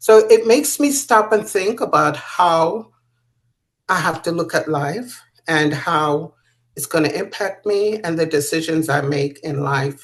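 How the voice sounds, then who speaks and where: Speaking in an ordinary speaking voice, a woman with fairly low pitch moves at a fairly slow pace with lively intonation. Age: 60s. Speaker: author and patient sharing her illness. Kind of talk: interview testimony.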